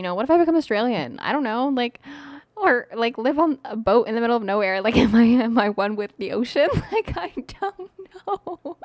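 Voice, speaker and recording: With a Canadian accent, a woman speaks fairly quickly in a high voice with very wide pitch swings, the sound dry and close with no echo. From Canada, Iraqi immigrant family. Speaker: podcast co-host. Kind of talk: casual chat. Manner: hesitant, many fillers.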